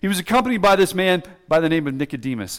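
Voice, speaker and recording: Loud and high-pitched, a man speaks with ordinary pitch variation. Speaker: pastor. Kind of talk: sermon. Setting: church.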